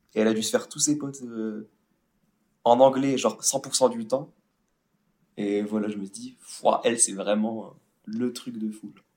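A dark, mellow tone at a fairly slow pace, with fairly even intonation, big swings in loudness and long, frequent pauses. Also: man, medium pitch for a man. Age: 20s. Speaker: podcast co-host friend. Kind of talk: casual chat.

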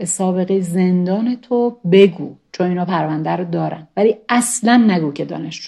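Against a quiet background, a woman with a fairly low pitch and a dark, mellow tone talks at a moderate pace with ordinary pitch variation. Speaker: former expelled university student. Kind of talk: interview testimony.

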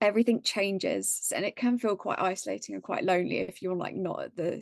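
At a fairly quick pace, a woman with an English accent speaks at a medium pitch against a quiet background. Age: 20s. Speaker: book content creator. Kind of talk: casual chat.

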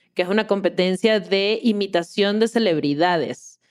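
Speaking with a normal speaking voice, a woman talks at a fairly slow pace and medium pitch with ordinary pitch variation. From Venezuela, Caracas. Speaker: podcast host and producer. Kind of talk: casual chat.

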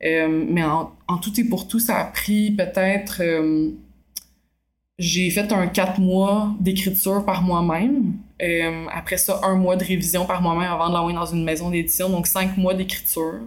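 Speaking fairly slowly in a Quebec accent, a woman keeps a medium pitch, fairly even intonation and very even loudness. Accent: Québécois French. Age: 20s. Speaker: novelist and film student. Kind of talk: interview. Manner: hesitant, many filler sounds.

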